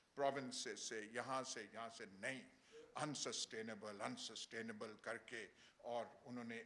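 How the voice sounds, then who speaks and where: A man's voice with a bright, sharp tone. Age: 70s. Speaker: seminar speaker. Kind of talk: public speech. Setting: seminar hall. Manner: halting, many filler sounds.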